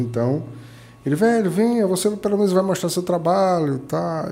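A man talks at a fairly quick pace with very wide pitch swings. His voice is somewhat breathy. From Bahia, Brazil (Itajuípe). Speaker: computer modder and tech event ambassador. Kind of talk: interview storytelling.

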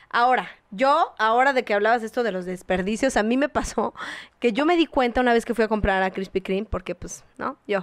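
A woman with a plain, everyday voice talks at a fairly quick pace, fairly high in pitch with ordinary pitch variation, in a dry, close sound with no echo. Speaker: podcast co-host. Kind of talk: casual chat.

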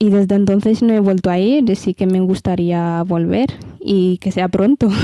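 With a dark, mellow tone, a woman speaks at a medium pitch with fairly even intonation, in a dry, close sound with no echo. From Ethiopia. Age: 20s. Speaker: model. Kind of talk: interview.

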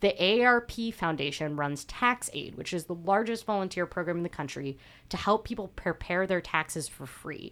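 A woman with an unremarkable speaking voice talks at medium pitch and a moderate pace, with lively intonation. The recording is very clean, with a silent background. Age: 20s. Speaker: personal finance podcast host. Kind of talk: solo podcast explainer.

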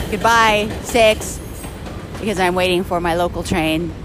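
Ordinary pitch variation at a moderate pace, backed by noticeable background noise. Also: woman. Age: 40s. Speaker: podcaster. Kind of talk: casual monologue. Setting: outdoors at a subway platform.

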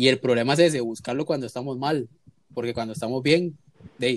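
This man has a normal speaking voice, medium pitch and ordinary pitch variation. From Costa Rica. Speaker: podcast host. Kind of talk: casual chat.

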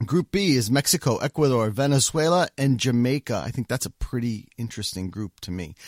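A man with an unremarkable speaking voice and an American accent talks at a medium pitch and fairly quick pace, with lively intonation and hardly any pauses, in a very clean recording with a silent background and a dry, close sound with no echo. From United States. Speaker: soccer podcast host. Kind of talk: casual chat.

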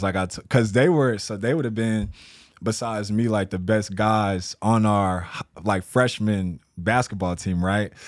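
In a very clean recording with a silent background, a man with an American accent and an unremarkable speaking voice talks fairly slowly, his fairly low pitch held in fairly even intonation. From Texas, San Antonio. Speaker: entrepreneur, vintage clothing store owner. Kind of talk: casual chat.

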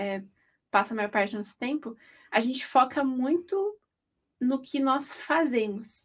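Her voice high in pitch, a woman speaks at a fairly slow pace with lively intonation and long, frequent pauses. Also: very clean recording, silent background. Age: 20s. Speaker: podcast host, journalist. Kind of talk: casual chat.

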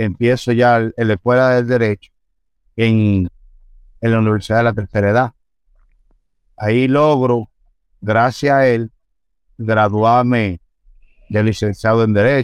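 The sound is dry and close with no echo. A man at medium pitch talks at a fairly slow pace with fairly even intonation. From Dominican Republic, Santo Domingo (Los Mina). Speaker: police officer. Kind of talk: interview, life story. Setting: studio.

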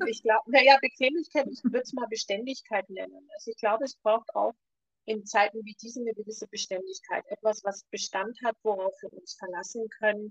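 A woman with an ordinary speaking voice talks at a fairly high pitch and a fairly quick pace, with ordinary pitch variation and big swings in loudness. The sound is dry and close, with no echo. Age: 60s. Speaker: ayurveda expert and podcast co-host. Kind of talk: casual chat.

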